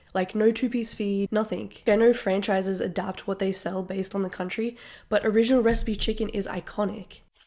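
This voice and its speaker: A woman speaks with an Australian accent in a dark, mellow tone. Her delivery is monotone and flat at a fairly quick pace. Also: medium pitch for a woman. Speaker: vlogger. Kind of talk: casual vlog.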